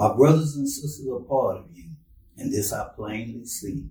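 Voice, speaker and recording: With a dark, mellow tone and a somewhat breathy quality, a man speaks at a moderate pace in an American accent with lively intonation. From Texas, Brenham. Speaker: poet and author. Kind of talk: reading aloud poetry.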